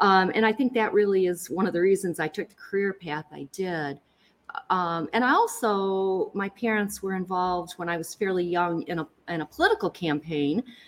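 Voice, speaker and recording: In a Michigan accent, a woman speaks at a medium pitch and moderate pace with ordinary pitch variation. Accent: Michigan, general American. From Lansing, Michigan. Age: 60s. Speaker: county prosecutor. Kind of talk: casual interview.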